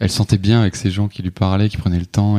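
A man's dark, mellow, monotone voice with flat intonation, at a fairly quick pace, with a dry, close sound with no echo. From France, Alsace. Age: 30s. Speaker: hotel receptionist. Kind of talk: casual interview. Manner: halting, many hesitations.

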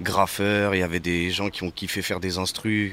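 This man talks with a very deep, low pitch and fairly even intonation. His pace is fairly slow. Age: 20s. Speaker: rapper. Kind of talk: casual chat.

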